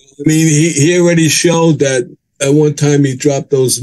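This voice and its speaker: With an American accent, a man talks at a moderate pace in a fairly high pitch, his tone dark and mellow and his intonation monotone and flat. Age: 70s. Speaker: deputy constable. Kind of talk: interview.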